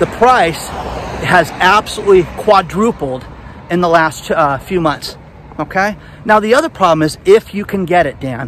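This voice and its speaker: Talking at a moderate pace and a high pitch, a man is heard with a dry sound with no echo and light background noise. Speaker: vlogger. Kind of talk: casual vlog commentary. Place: street. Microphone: phone near.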